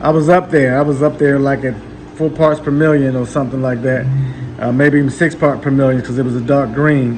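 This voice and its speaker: Noticeable background noise sits behind speech with fairly even intonation. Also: man. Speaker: aquarium hobbyist YouTuber. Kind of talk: casual video update / tank walkthrough. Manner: many fillers and hesitations.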